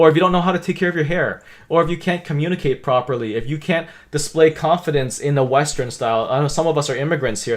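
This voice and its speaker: A man's animated voice at a fairly quick pace, with ordinary pitch variation. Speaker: career coach. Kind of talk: livestream Q&A talk. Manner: fast.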